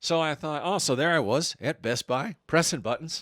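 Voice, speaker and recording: With lively intonation and some vocal fry, a man speaks at a fairly high pitch in a very clean recording with a silent background and a dry, close sound with no echo. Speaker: comedian. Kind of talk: casual chat.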